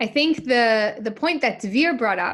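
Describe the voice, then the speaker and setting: In a New York accent, a woman with a high pitch speaks at a moderate pace with lively intonation. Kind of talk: online webinar teaching.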